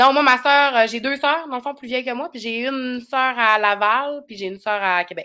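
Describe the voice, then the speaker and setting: A woman's high, bright, sharp voice at a moderate pace, with hardly any pauses, ordinary pitch variation and big swings in loudness, over a quiet background. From Quebec, Saguenay (Chicoutimi); Quebec. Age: 30s. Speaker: YouTuber and reality TV personality; YouTuber. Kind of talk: casual chat. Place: home room.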